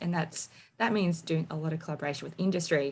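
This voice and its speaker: Speaking at a fairly quick pace, a woman with a fairly low pitch talks in an Australian accent. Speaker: marine engineer presenting research technology. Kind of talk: technical presentation. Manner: fast.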